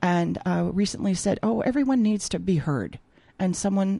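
The voice carries an American accent. It has a dark, mellow tone. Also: woman. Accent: Minnesota accent comes out when back home. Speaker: textile artist and opera singer. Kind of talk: casual interview. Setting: radio studio.

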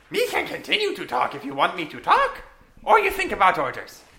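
A man puts on a character voice and speaks at a fairly quick pace. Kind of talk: broken, simple grammar.

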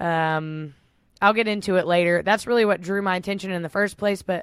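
Very clean and silent in the background, this recording has a woman with a Texan accent. Her pitch is fairly low and her pace very fast. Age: 20s. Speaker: podcast co-host. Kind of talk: casual chat; reading aloud.

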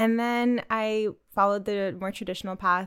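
With a Canadian accent, a woman speaks at a medium pitch with fairly even intonation on a very clean recording with a silent background. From Canada, with time in Russia. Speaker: travel and lifestyle content creator. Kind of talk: casual interview chat.

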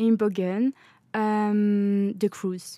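A woman's voice in a French accent, medium in pitch with a dark, mellow tone, on a very clean recording with a silent background and a dry, close sound with no echo. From France. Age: 20s. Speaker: law student. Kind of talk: casual chat. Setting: studio.

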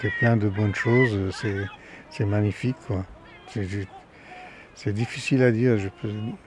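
A man speaks at a fairly slow pace and a fairly low pitch, with long, frequent pauses and noticeable background noise. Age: 70s. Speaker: retired sailor. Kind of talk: interview. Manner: halting.

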